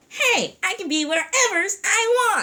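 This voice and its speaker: A squeaky, extremely high-pitched cartoonish character voice at a fairly slow pace. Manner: eager, ungrammatical.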